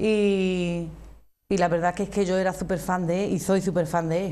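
A woman with an Andalusian accent speaks at a moderate pace in a dark, mellow tone. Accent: Andalusian (Cádiz). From Andalusia, Arcos de la Frontera (Cádiz); Andalusia, Spain. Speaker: flamenco singer; guest. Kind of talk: interview. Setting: TV studio. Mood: warm, fond recollection. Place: studio. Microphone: lapel.

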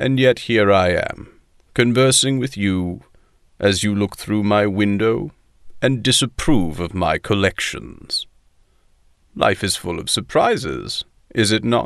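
A man with a fairly low voice talks at a fairly slow pace, with lively intonation. He takes long, frequent pauses against a quiet background. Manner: dry, self-aware sarcasm, weary authority; harsh but resigned.

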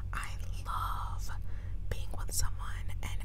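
A woman speaks over loud background noise, her voice dry with no echo. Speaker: ASMR creator. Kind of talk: casual vlog chat. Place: car. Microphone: lapel.

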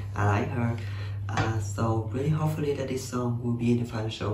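A man with a Vietnamese accent speaks at medium pitch in a somewhat breathy voice. Light background noise and audible room echo are present. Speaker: YouTuber reacting to music videos. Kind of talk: casual reaction commentary. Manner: halting, many fillers. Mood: enthusiastic, friendly. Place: home room. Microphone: webcam.

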